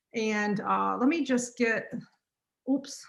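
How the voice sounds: A woman with a North Carolina accent has a bright, sharp tone and vocal fry. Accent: North Carolina, US Southern.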